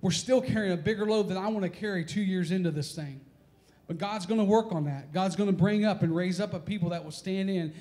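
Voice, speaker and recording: A man's high-pitched voice at a fairly quick pace with ordinary pitch variation. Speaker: pastor. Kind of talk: sermon. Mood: earnest, personal confession. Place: church. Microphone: handheld.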